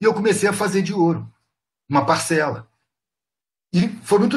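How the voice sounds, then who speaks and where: With an animated tone, a man talks in lively intonation. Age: 50s. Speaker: street artist. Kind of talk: casual chat.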